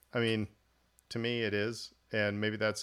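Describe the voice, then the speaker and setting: This fairly low-pitched man speaks with an American accent in a monotone, flat intonation at a moderate pace. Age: 40s. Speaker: podcast host. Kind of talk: casual chat.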